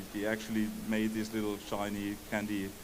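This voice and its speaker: Noticeable background noise and audible room echo accompany a man speaking at a fairly low pitch and fairly slow pace. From Germany, Palatinate. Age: 60s. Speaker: game developer. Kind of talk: interview. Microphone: bad audio.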